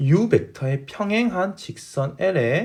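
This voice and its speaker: Vocal fry runs through this man's voice in a very clean recording with a silent background. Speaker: math teacher. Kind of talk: lecture.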